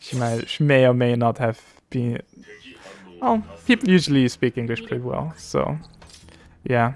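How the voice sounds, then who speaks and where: A medium-pitched man with a German accent at a fairly slow pace, ordinary pitch variation, dry, close sound with no echo, and music in the background. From Austria. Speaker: streamer. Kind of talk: casual gaming livestream chat. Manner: halting, many fillers and restarts.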